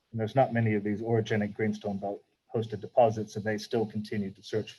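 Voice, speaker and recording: With an American accent, the speaker has a dark, mellow tone and a monotone, flat intonation. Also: man. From Texas. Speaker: mining company managing director. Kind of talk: interview. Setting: virtual conference.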